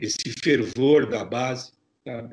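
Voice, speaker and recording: A man has an unremarkable speaking voice, with a medium pitch and fairly even intonation. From Brazil, São Paulo. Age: 60s. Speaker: journalist, foreign correspondent. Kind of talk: interview.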